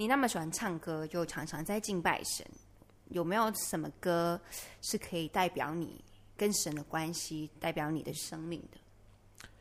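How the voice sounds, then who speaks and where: Woman with a plain, everyday voice, fairly slow pace and ordinary pitch variation. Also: fairly low pitch for a woman. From Malaysia. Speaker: podcast host. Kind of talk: casual interview.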